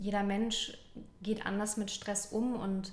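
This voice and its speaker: A woman speaks at a fairly slow pace with monotone, flat intonation, with audible room echo around her. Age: 30s. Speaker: health and prevention advisor in training. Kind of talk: interview. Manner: halting.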